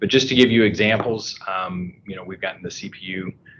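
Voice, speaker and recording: A man talks at a fairly quick pace. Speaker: cloud storage product director. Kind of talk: business presentation. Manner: fast.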